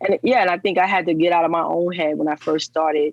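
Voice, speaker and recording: Fairly low in pitch, a woman with a New York accent speaks at a fairly quick pace in a dry, close sound with no echo. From New York, the Bronx. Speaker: plant-based nutrition coach. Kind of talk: podcast interview. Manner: animated.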